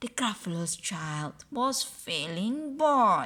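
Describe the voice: Slow and bright, a woman's sharp-toned voice sits at medium pitch but moves through big pitch swings.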